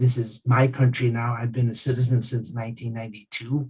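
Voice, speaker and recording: A man speaks in a somewhat breathy voice at a medium pitch. His intonation is monotone and flat. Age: 50s. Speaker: keynote speaker, real estate agent. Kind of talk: speech at a virtual community event. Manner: halting, many repetitions and fillers.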